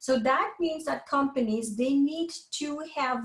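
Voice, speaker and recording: A woman with a French accent talks at a fairly slow pace, her pitch varying in an ordinary way. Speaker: professor. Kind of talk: lecture.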